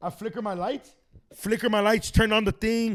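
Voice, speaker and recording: A man speaks loudly with an American accent. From Los Angeles, Echo Park. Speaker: comedian and podcaster. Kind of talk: casual chat. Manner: fast, stuttering.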